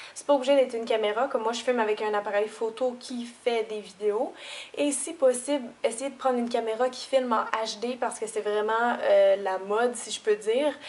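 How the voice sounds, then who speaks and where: With a Quebec accent, a woman speaks at a fairly high pitch, her loudness swinging widely while her intonation stays fairly even. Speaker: beauty youtuber. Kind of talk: tutorial. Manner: hesitant, many fillers. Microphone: camera's built-in audio.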